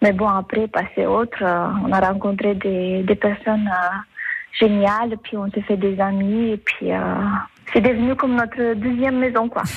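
A woman's medium-pitched voice with a Romanian accent, fairly slow and fairly even in intonation, over noticeable background noise. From southwest Romania. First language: Romanian (speaking French). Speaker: immigrant mother. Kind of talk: radio interview.

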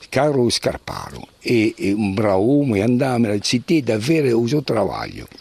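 A man speaking with hardly any pauses and ordinary pitch variation, over noticeable background noise. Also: medium pitch for a man, moderate pace, very even loudness. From Corsica, Ucciani. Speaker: local elder and village historian. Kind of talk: interview. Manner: halting.

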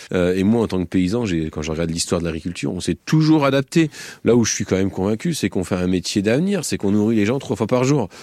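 Lively in intonation, a man speaks very fast in a fairly low pitch, dry and close with no echo, on a very clean recording with a silent background. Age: 40s. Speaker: farmer. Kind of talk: field interview. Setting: outdoors on a farm.

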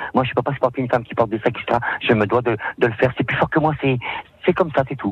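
A man's somewhat breathy, very fast delivery with ordinary pitch variation and long, frequent pauses. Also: medium pitch for a man. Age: 50s. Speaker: cleaner. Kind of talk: radio interview. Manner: halting.

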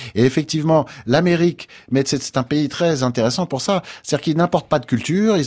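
The man's tone is dark and mellow. He talks at a fairly quick pace with lively intonation. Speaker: jazz pianist. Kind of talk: interview.

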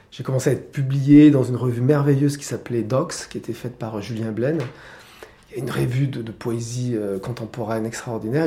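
There is noticeable background noise as a man speaks at a moderate pace and medium pitch. His loudness swings widely, while his intonation stays fairly even. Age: 60s. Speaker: playwright and theatre director. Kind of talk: casual interview at home. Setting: at his home. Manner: halting, repeating words.

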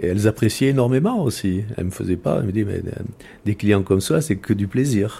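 A man's fairly low, somewhat breathy voice, dark and mellow in tone, with ordinary pitch variation. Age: 60s. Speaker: security professional, ex-military. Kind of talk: personal testimony.

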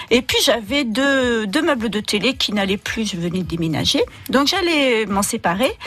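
Noticeable background noise sits under this recording. A woman speaks at a fairly high pitch, and her voice swings very widely in pitch. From southern France, Roussillon. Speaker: artist designer. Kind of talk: radio interview. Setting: radio studio. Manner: halting.

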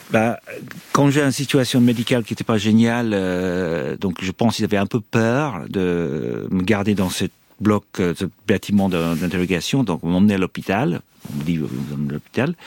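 In a very deep, low voice with an Irish accent, a man speaks at a moderate pace with lively intonation, the sound dry and close with no echo. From Ireland. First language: English (speaking French). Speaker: former hostage. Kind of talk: testimony. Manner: halting.

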